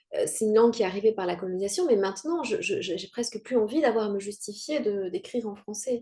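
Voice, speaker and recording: A fairly high-pitched woman at a fairly quick pace, ordinary pitch variation, noticeable background noise. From Rwanda. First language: Kinyarwanda (speaking French). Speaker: writer. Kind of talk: interview. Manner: halting.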